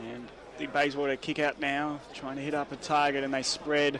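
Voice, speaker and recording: With an Australian accent, a man talks at a moderate pace in a fairly high, monotone voice with flat intonation. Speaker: football commentator. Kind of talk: live commentary.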